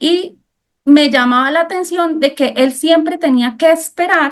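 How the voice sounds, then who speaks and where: A woman speaks with a Colombian accent. She talks at a fairly slow pace. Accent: Cúcuta (Colombian) accent, noticeable. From Colombia, Cúcuta. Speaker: architect. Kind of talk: interview.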